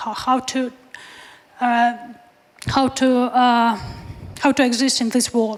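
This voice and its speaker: A woman speaks very slowly in a high, flat monotone. There is noticeable background noise. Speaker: soldier, drone operator asking a question. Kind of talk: audience question at a panel. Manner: halting.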